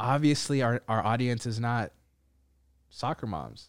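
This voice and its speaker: A man at medium pitch with ordinary pitch variation, a fairly slow pace and long, frequent pauses, on a very clean recording with a silent background. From Ethiopian community, Minnesota. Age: 30s. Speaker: podcast host. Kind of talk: casual chat.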